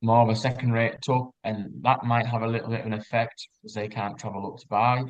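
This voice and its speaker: With an ordinary speaking voice, a man talks at a moderate pace, his pitch medium and his intonation fairly even. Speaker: livestock auctioneer. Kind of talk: online meeting talk.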